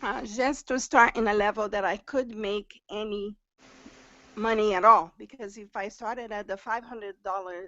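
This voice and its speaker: With a strong Brazilian accent, a woman speaks at a medium pitch. Her pace is moderate and her intonation fairly even. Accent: heavy Brazilian Portuguese. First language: Portuguese. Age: 50s. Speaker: new direct sales recruit. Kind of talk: testimony on a group live stream. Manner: halting, with fillers and repetitions.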